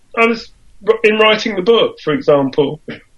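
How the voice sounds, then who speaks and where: The speaker is a man with a high pitch. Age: 70s. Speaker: musician and composer. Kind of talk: casual chat.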